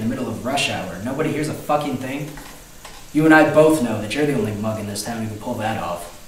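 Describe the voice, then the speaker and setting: Very fast and with big swings in loudness, a man talks amid light background noise and audible room echo. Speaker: actor playing a hard-boiled cop. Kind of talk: acted dramatic dialogue. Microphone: camera far.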